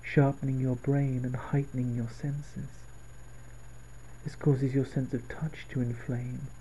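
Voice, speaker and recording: A dark, mellow, somewhat breathy male voice at medium pitch, monotone and flat, fairly slow with long, frequent pauses. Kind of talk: softly spoken guided visualisation / relaxation script. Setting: home recording, late at night. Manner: soft-spoken, slow, calming.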